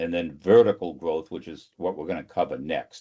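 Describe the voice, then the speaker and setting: A man talks in a Boston accent. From greater Boston area. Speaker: sales consultant and trainer. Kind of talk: webinar presentation. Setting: online webinar.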